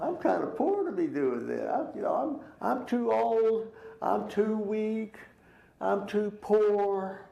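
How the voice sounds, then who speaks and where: A man with a Texas accent talks at a very slow pace amid noticeable background noise. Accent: Texas Southern US. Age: 70s. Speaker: Sunday school teacher. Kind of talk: Bible class teaching.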